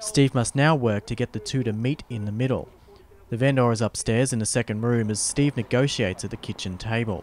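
Delivered at a fairly quick pace with an Australian accent, the speech has a dry, close sound with no echo. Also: man, medium pitch for a man. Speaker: reporter. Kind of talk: scripted narration.

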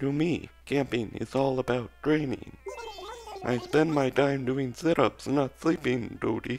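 A breathy, put-on character voice at a low-to-middle pitch plays over clear music in the background. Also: fairly slow pace.

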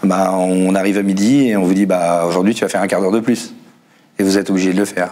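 With ordinary pitch variation, a man's voice stays at a fairly low pitch. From northern France. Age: 40s. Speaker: assembly line worker and union secretary; car factory worker guest. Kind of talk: panel discussion. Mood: aggrieved, indignant. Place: studio. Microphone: lapel.

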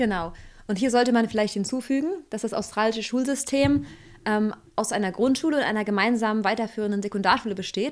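At a very fast pace, a woman speaks with a fairly high pitch. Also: ordinary pitch variation. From rural Germany. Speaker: emigrant, co-host; co-host. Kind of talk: casual discussion. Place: home room. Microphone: studio mic.

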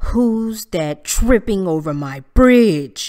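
A bellowing put-on character voice, female-sounding, medium in pitch, at a very slow pace. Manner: roaring, gruff.

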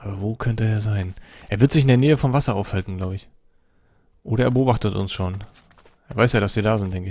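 A man talks at a very fast pace, his pitch fairly low with ordinary variation. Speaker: gaming video creator. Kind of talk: let's play commentary. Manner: casual, animated.

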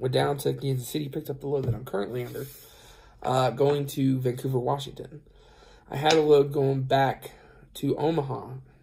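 Over a quiet background, a man talks at a fairly quick pace, somewhat breathy and with monotone, flat intonation. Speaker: truck driver vlogger. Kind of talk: casual vlog chat. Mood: relaxed, rueful storytelling. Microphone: phone near.

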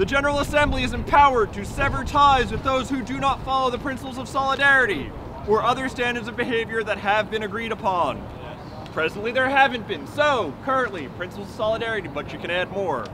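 With crowd noise behind him, a man speaks very fast in a raised, projected voice with ordinary pitch variation. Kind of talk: public proposal reading to assembly. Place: street.

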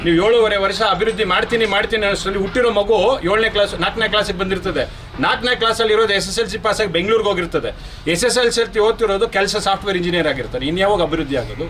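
Over noticeable background noise, a man talks in a high voice at very even loudness. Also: ordinary pitch variation. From Karnataka, Malur taluk (Kolar district). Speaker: local politician. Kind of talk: media interview statement. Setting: on camera, press interview. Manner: animated.

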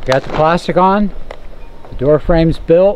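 A man with a fairly high pitch speaks at a slow pace with ordinary pitch variation over faint background noise.

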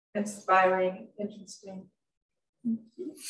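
A woman's medium-pitched voice in a monotone, flat intonation, with audible room echo and light background noise. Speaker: museum event organizer; audience member. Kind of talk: formal introduction. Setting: gallery with live audience and Zoom. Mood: warm, appreciative. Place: office.

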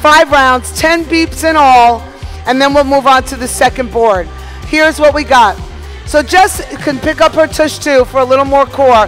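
A woman with a high pitch and ordinary pitch variation talks at a moderate pace as faint music plays in the background. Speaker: fitness instructor. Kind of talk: tutorial. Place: gym.

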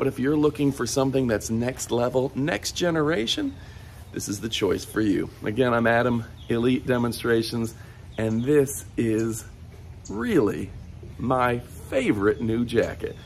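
Over light background noise, a man with an American accent talks at a fairly slow pace and medium pitch with ordinary pitch variation. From Michigan, US. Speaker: product reviewer. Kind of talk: sales pitch. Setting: video review. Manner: animated; upbeat, salesy. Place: garden.

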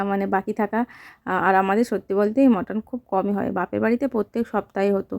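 In a monotone, flat intonation, a woman with a medium pitch and a dark, mellow tone speaks in a dry, close sound with no echo. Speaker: daily vlogger. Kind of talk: casual vlog narration.

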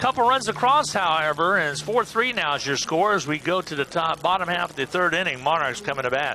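An energetic man's fairly high voice with lively intonation at a fairly quick pace, over noticeable background noise. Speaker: baseball play-by-play announcer. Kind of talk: live baseball play-by-play commentary. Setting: ballpark broadcast booth. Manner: brisk, fluent, energetic play-by-play delivery.

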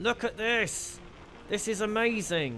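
A man's raised, projected voice at a high pitch with ordinary pitch variation and a very slow pace, faint music in the background. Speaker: voice actor, live streamer. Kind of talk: casual live stream chat with viewers. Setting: live stream, gaming. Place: home room. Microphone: headset.

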